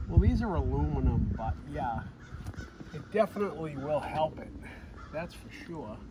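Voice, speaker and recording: Against noticeable background noise, a man mumbles at a moderate pace, with big swings in loudness and long, frequent pauses. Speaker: vlogger doing vehicle maintenance. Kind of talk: casual how-to vlog chat. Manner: mumbling.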